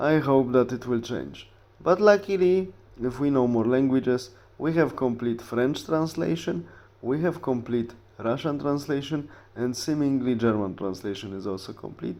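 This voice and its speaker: A man with a Polish accent speaks at medium pitch and a moderate pace with lively intonation. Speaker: history YouTuber. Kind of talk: casual talk to camera. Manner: halting with fillers.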